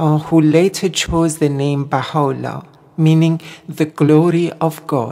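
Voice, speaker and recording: Her voice is very deep and low, with a dark, mellow tone, a monotone, flat intonation, and a fairly slow pace. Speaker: singer and Baha'i guest. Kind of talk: radio interview.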